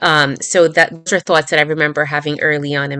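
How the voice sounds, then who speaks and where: Bright and sharp in tone yet very deep and low in pitch, a woman's voice runs at a very fast pace with monotone, flat intonation. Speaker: meditation teacher. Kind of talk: casual chat.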